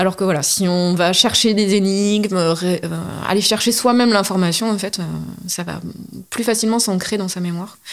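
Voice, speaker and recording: A woman of medium pitch talks at a moderate pace with fairly even intonation, her voice carrying audible room echo. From Corrèze, France. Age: 30s. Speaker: heritage guide. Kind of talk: interview.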